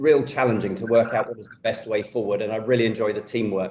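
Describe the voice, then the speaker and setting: A man in a London accent holds a medium pitch and fairly even intonation. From London, England. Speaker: pediatric orthopedic surgeon. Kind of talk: professional talk show interview.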